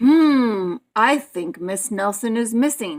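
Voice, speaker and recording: Doing a put-on character voice, a woman speaks at a very slow pace with lively intonation. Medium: read story. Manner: slow, ponderous.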